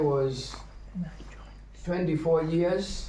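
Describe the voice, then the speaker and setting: In a room with audible echo, a man talks very slowly in a monotone, flat delivery. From Kenya. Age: 70s. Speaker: visiting Hare Krishna speaker. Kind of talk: religious talk.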